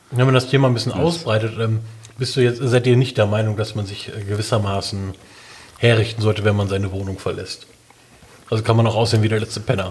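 Against noticeable background noise, a man with medium pitch talks very fast with fairly even intonation, broken by long, frequent pauses. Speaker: podcast co-host. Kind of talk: casual chat.

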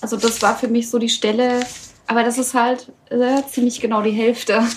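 Over noticeable background noise, a woman speaks at a moderate pace in a fairly high pitch with monotone, flat intonation. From Saxony, near Oschatz. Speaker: voice actor. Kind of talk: casual chat.

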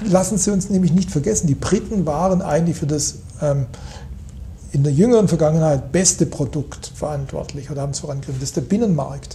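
This man's voice sits fairly high in pitch and moves at a very fast pace. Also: ordinary pitch variation. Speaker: economist. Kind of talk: interview. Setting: office with view over city. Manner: hesitant, many fillers.

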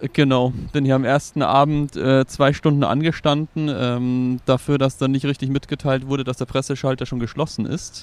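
A man speaks at a moderate pace and medium pitch in a flat monotone, with hardly any pauses, in a dry, close recording with no echo. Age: 30s. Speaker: film blogger. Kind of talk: casual chat. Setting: film festival in Venice.

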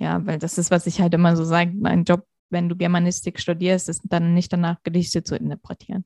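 A woman with a dark, mellow tone and a fairly low pitch speaks at a fairly quick pace in a monotone, flat intonation, with a dry, close sound and no echo. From Hesse, Germany. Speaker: interview guest, professional. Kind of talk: interview.

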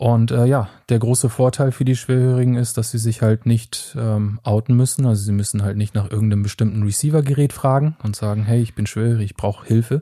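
Fairly even intonation and a dark, mellow, somewhat breathy tone come with hardly any pauses. The sound is dry and close with no echo, in a very clean recording over a silent background. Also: man, medium pitch for a man. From Germany. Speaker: product manager. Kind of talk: casual chat.

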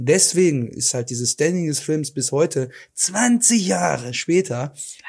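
A somewhat breathy man with a fairly high pitch talks at a fairly slow pace, with very wide pitch swings and big swings in loudness. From Ruhr area, Germany. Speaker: podcast co-host. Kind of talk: casual chat.

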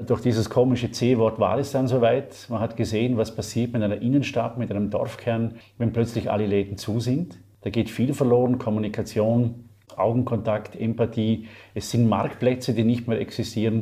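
Speaking at a moderate pace, a man with a medium pitch and a dark, mellow, somewhat breathy tone keeps a monotone, flat intonation. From Austria, Vorarlberg. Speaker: marketing lecturer and author. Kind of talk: interview.

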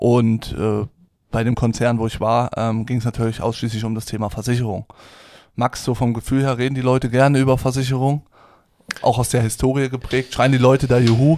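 A man with a dark, mellow tone and medium pitch speaks at a fairly quick pace in a monotone, flat intonation. The recording is very clean and the background silent. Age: 20s. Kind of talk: casual chat. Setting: studio, sitting opposite co-host.

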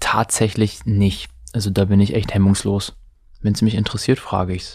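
A man with a fairly low pitch speaks in a dark, mellow tone with monotone, flat intonation. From northern Germany, near Hamburg. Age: 20s. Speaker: single on a blind date, economics student. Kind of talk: casual chat.

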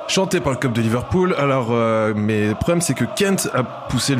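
Noticeable background noise sits behind a man's voice. His pitch is medium and his intonation lively. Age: 20s. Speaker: football journalist. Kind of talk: casual chat.

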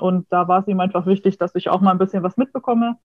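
Her voice is somewhat breathy and medium in pitch. The woman speaks at a very fast pace. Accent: slight Franconian. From Franconia, Nuremberg. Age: 20s. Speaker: food chemist. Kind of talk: interview.

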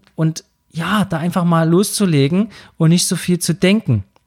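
The recording is very clean, with a silent background. A high-pitched man talks at a fairly slow pace with fairly even intonation. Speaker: podcast host and wedding speaker. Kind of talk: solo podcast monologue.

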